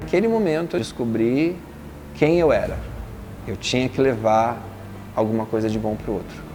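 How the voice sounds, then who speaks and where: With music in the background and audible room echo, a man at medium pitch speaks at a moderate pace with lively intonation and long, frequent pauses. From Brazil, São Paulo. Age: 40s. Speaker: interviewee sharing life story. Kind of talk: personal testimony.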